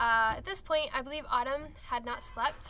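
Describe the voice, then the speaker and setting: Her voice is raised and projected, with a high pitch. The woman talks at a fairly quick pace with ordinary pitch variation. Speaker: travel vlogger. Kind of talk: casual chat. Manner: rambling, hesitant with fillers.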